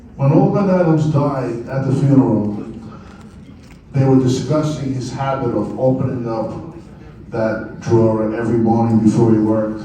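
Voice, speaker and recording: Amid noticeable background noise and audible room echo, a man with an American accent speaks at medium pitch and a moderate pace with ordinary pitch variation. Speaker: poet and writer. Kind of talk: speech to an audience.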